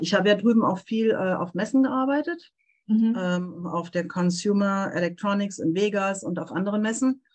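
A woman with a somewhat breathy voice and medium pitch speaks at a moderate pace with ordinary pitch variation. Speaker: translator and interpreter. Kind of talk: casual interview. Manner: animated.

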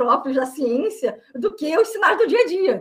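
The speech moves at a moderate pace. Its pitch swings very widely. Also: woman. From Brazil. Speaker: biologist and writer. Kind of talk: interview. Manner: halting.

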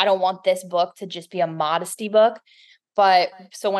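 Against a quiet background, a woman with a plain, everyday voice speaks at a medium pitch and a moderate pace. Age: 30s. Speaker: author. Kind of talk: casual chat.

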